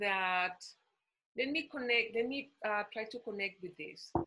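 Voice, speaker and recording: Over a quiet background, the voice has a bright, sharp tone and ordinary pitch variation. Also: woman. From Costa Rica. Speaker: diplomat. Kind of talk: panel talk. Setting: video call. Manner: halting, many fillers. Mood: earnest, serious. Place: home room. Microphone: webcam.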